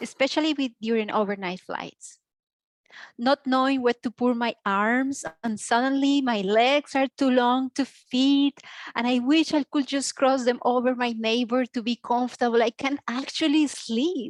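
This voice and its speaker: A woman with a Spanish accent speaks high and fairly slowly, her intonation fairly even. The background stays quiet. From Colombia. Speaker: comedy student. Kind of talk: stand-up.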